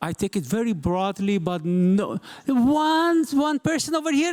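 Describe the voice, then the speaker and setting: A man speaks with a non-native accent and very wide pitch swings. The sound is dry and close, with no echo. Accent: non-native English speaker. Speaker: journalist and event moderator. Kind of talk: live event moderation. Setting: stage with live audience. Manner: halting, many fillers.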